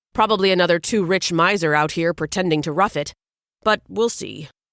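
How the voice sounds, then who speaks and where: In a put-on character voice, a female-sounding speaker rumbles in a gruff, middle-pitched tone at a fairly quick pace, on a very clean recording with a silent background. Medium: read story. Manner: gruff, rumbling.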